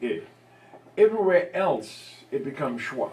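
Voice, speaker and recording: Over noticeable background noise, a man with a non-native accent speaks fairly slowly in a high pitch with lively intonation. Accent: non-American English dialect. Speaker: linguistics lecturer, audience member. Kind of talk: academic Q&A discussion.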